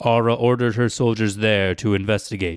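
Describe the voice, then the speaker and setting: A man with a normal speaking voice and fairly low pitch talks at a moderate pace with ordinary pitch variation, the sound dry and close with no echo in a very clean recording with a silent background. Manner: measured, storyteller's tone.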